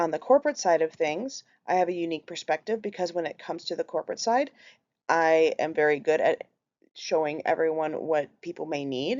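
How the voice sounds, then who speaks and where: A woman with a Minnesotan accent talks at a very fast pace, her pitch fairly low and its variation ordinary. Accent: Minnesota. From Minnesota, US (Minneapolis). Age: 30s. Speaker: healthcare worker, group home coordinator. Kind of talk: class presentation.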